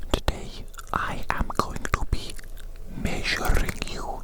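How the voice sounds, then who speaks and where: Whispered speech comes through over noticeable background noise. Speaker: ASMR creator playing a medical professional. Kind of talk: ASMR medical roleplay, whispered close-up. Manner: whispering, soft, repetitive.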